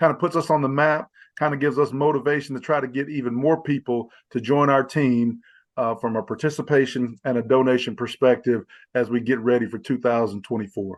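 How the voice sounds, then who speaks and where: A man of medium pitch talks at a fairly quick pace with fairly even intonation against a quiet background. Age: 50s. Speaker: fraternity member and charity walk organizer. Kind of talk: interview. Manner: halting, many fillers and repeats.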